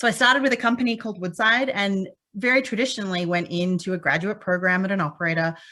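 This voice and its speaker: A woman with a slight Australian accent talks at a very fast pace. Her tone is bright and sharp, her pitch medium with ordinary variation. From Australia, Perth, Western Australia. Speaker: petroleum engineer and conference speaker. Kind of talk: conference talk. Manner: many fillers (um).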